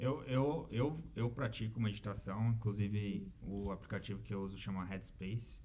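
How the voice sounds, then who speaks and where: Speaking fairly slowly in a room with audible echo, a man's fairly low, somewhat breathy voice has a dark, mellow tone. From Brazil, São Paulo. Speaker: engineer and immigrant in Canada. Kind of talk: casual chat.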